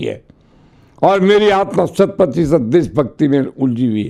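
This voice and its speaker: Very wide pitch swings in a man's voice of dark, mellow tone. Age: 80s+. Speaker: former state cabinet minister, politician. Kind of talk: interview. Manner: forceful.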